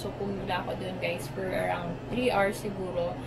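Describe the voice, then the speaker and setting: Music runs underneath. A woman's delivery is fairly slow. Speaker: travel vlogger. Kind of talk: casual vlog chat. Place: home room. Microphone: phone near.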